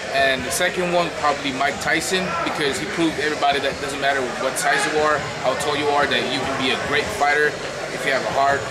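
Loud background noise behind a man's fairly quick speech. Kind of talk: interview answer. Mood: proud, earnest. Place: gym.

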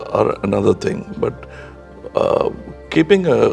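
Clear music plays in the background as a soft-spoken man talks at a fairly slow pace. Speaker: actor and producer. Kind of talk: interview answer.

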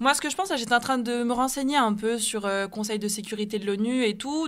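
Using an ordinary speaking voice, a woman talks at a fairly quick pace with a fairly high pitch and ordinary pitch variation. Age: 20s. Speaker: anti-racism activist and student. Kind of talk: radio panel debate.

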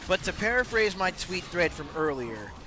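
A man talks at a moderate pace. Noticeable background noise is present, yet the sound stays dry with no echo. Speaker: game streamer. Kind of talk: angry rant; livestream commentary. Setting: livestream, clipped highlight. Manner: impassioned, emphatic, cursing, building heat as he lists grievances. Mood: passionate, emphatic rant. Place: home room. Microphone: headset.

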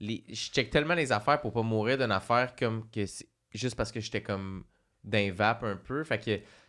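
A man talks at a moderate pace in a medium pitch, with ordinary pitch variation over a quiet background. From Quebec. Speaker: podcast co-host. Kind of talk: casual chat. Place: studio. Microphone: studio mic.

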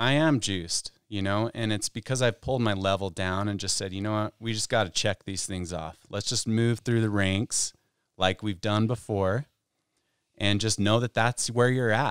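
A man with an American accent speaks in a normal speaking voice, fairly low in pitch, at a moderate pace with fairly even intonation. The very clean recording has a silent background and a dry, close sound with no echo. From Utah. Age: 40s. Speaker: pro snowboarder. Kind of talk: casual chat. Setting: studio.

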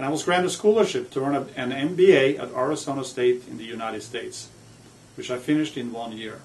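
A man with a Norwegian accent and a medium pitch talks very fast with lively intonation and big swings in loudness. Noticeable background noise can be heard. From Norway. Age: 50s. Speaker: author. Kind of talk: personal biography monologue.

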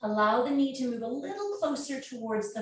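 A woman has an ordinary speaking voice with ordinary pitch variation. She talks at a fairly slow pace. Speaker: yoga teacher. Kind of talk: guided stretch class. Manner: calm, soothing.

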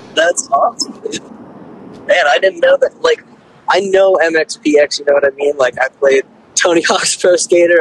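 A man speaks with an American accent at a moderate pace. The sound is dry, with no echo. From Pennsylvania. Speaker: guitarist; podcast host. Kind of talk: casual chat. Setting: phone call. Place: studio. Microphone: studio mic.

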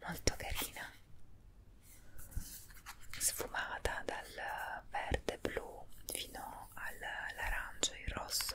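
Whispering and soft-spoken, a woman talks at a very slow pace with long, frequent pauses over light background noise. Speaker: beauty vlogger. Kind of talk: product review vlog chat. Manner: soft ASMR whisper, close to mic. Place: home room. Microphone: earbuds.

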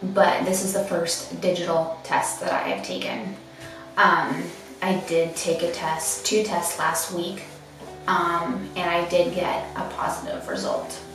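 A woman at a fairly slow pace, with audible room echo and clear music in the background. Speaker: vlogger. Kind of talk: casual vlog chat. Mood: subdued, hesitant, emotional. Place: bathroom.

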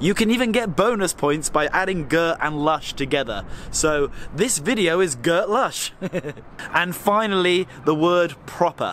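A man's lively intonation at a fairly slow pace, with light background noise and a dry sound with no echo. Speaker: travel vlogger. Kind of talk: casual vlog chat. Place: street. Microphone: phone near.

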